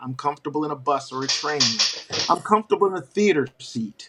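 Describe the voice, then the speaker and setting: A man talks at a fairly high pitch in an ordinary speaking voice. His pitch varies in an ordinary way. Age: 60s. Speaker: professional Santa performer. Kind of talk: interview.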